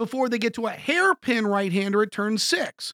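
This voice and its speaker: A man's extremely high-pitched, raised and projected voice, bright and sharp with an enthusiastic tone, at a moderate pace on a very clean recording with a silent background. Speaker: podcast host; also radio show host. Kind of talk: podcast episode preview. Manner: informal, enthusiastic.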